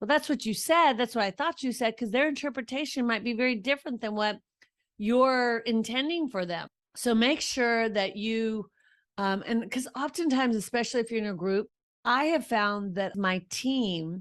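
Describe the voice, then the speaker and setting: The woman has an unremarkable speaking voice, pitched fairly high. Her speed is moderate, and her pitch varies in an ordinary way. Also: quiet background. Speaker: podcast host and leadership coach for women. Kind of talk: podcast monologue on leadership.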